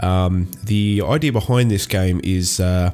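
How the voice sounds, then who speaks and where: Music plays in the background as someone speaks with an Australian accent and ordinary pitch variation. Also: man. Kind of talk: casual talk to camera. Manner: hesitant, many fillers.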